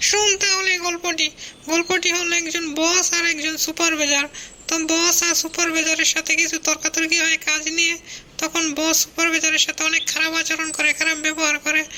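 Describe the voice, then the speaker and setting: A cartoonish character voice comes through at an extremely high pitch with monotone, flat intonation. Background noise is clear. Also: moderate pace. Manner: casual, teasing.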